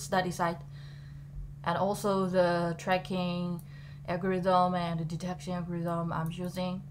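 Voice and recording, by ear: Her pitch fairly low, a woman speaks at a moderate pace in monotone, flat intonation.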